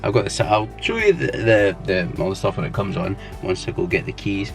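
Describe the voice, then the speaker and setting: Music plays in the background as a man talks at a moderate pace. He has a Scottish accent and lively intonation. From Scotland. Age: 20s. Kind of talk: casual talk to camera. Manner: casual, hesitant.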